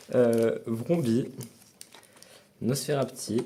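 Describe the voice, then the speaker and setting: This man has a dark, mellow tone at medium pitch, and his intonation is lively. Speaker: new member of a card-opening channel. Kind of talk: casual card unboxing. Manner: loud; halting.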